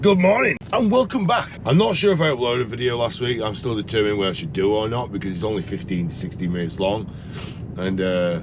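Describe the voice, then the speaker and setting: A man talks at a very fast pace with lively intonation in a Yorkshire accent, with audible room echo and noticeable background noise. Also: medium pitch for a man. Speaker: truck driver vlogger. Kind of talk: casual vlog talk. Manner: animated.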